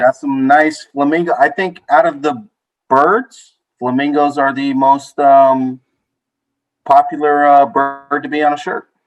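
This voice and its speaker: Music plays in the background as a man talks at a fairly slow pace in a fairly high pitch. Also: ordinary pitch variation. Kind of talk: casual group podcast talk.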